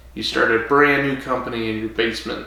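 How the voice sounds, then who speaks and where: A man with an American accent speaks at a medium pitch. Audible room echo and noticeable background noise surround his voice. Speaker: podcast co-host. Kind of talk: casual chat. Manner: mumbles when drinking. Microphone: quiet, projecting away from mic.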